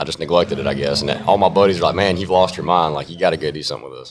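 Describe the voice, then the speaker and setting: A man with a very deep, low pitch and an American accent, very fast pace and ordinary pitch variation. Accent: country twang. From North Carolina mountains. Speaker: country music artist. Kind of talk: casual interview.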